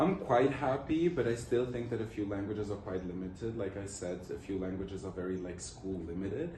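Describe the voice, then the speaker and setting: In a room with audible echo, a man speaks fairly quickly at a fairly low pitch with ordinary pitch variation. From Luxembourg. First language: Portuguese. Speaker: student interviewee. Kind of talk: interview answers.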